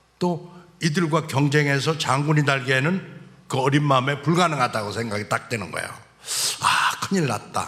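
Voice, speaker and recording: Over noticeable background noise, a man with a fairly high pitch speaks at a very slow pace. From South Chungcheong, Korea (Cheongyang). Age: 60s. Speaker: church elder giving testimony. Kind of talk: testimony.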